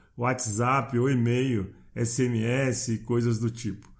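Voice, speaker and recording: A man is speaking. His pitch is medium. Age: 60s. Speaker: podcast host, personal development coach. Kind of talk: motivational monologue.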